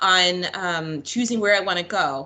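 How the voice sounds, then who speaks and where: The woman's intonation is lively throughout. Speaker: school counselor; presenter. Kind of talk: online presentation. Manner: fast. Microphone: video call.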